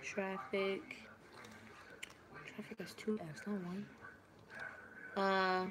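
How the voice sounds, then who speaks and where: A woman of medium pitch speaks at a very slow pace with long, frequent pauses and fairly even intonation, with audible room echo. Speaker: video diarist. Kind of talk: casual study vlog. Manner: slow, halting.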